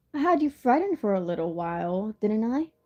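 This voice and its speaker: A husky, put-on character voice. It moves at a fairly quick pace. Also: woman, fairly high pitch for a woman. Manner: sweet, teasing.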